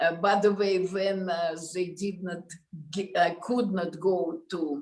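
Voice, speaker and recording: A woman with a Russian accent, medium pitch and a fairly slow pace. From Russia, Moscow. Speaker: concert pianist. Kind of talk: interview conversation. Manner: halting.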